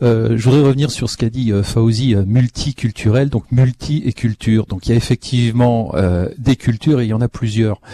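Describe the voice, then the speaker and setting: Recorded with a dry, close sound with no echo, a man of medium pitch talks at a moderate pace in a dark, mellow, somewhat breathy tone with fairly even intonation. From France. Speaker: cultural institute director. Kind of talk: audience comments in panel. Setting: live broadcast from a community centre with audience.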